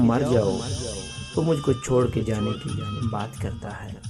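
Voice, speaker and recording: A man speaks with lively, varied intonation as music plays behind him. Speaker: radio jockey, poetry reciter. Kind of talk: poetry reading.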